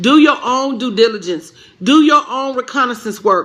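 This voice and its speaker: A woman with a Southern US accent speaks in an animated tone at a moderate pace, her high pitch showing ordinary variation over noticeable background noise. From Tennessee, Pulaski. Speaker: business coach. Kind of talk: live stream chat.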